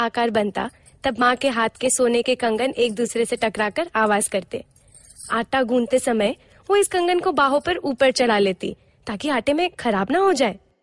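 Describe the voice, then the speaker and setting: The woman's voice sits high in pitch, with a dry, close sound and no echo. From India, Mathura (Uttar Pradesh). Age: 50s. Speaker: storyteller. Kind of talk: storytelling narration.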